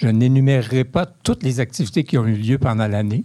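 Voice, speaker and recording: In a Quebec accent, a man speaks at a fairly quick pace with a medium pitch and a dark, mellow tone, against a quiet background. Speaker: board member of community organization. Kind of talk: reading aloud.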